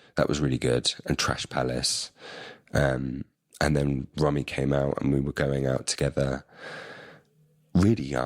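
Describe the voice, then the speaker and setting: With a London accent, a man speaks at a fairly slow pace with long, frequent pauses, his very deep, low pitch held at very even loudness and fairly even intonation, in a dry, close sound with no echo. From London, England. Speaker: musician and filmmaker. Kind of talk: casual chat. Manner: halting, many fillers.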